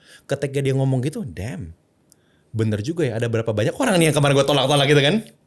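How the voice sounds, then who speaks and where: At a very fast pace, a man talks in a somewhat breathy voice. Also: lively intonation. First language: English (speaking Indonesian). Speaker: content creator and personal branding consultant. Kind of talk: podcast interview. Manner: mixes English and Indonesian freely.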